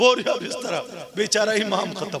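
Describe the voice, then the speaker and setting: A raised, projected voice over noticeable background noise. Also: man. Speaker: Islamic preacher giving a sermon. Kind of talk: public Islamic sermon.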